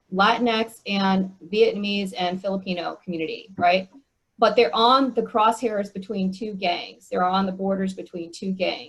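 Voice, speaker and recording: A woman talks at a moderate pace with a medium pitch and fairly even intonation. Her voice is somewhat breathy. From US, Korean American family. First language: Korean. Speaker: speaker on church mission. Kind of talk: Q&A discussion at online meeting.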